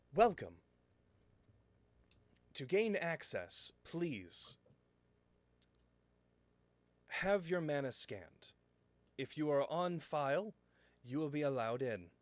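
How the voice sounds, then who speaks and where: A man's put-on, robotic character voice, fairly high in pitch, at a fairly slow pace with long, frequent pauses. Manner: odd, mechanical, announcing.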